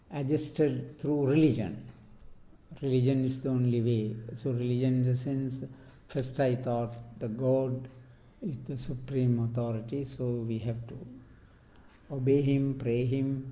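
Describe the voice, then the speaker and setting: A man talks at a very slow pace with long, frequent pauses. His medium-pitched voice is somewhat breathy, and his intonation is fairly even. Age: 80s+. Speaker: translator and peace activist. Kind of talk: oral history interview answer.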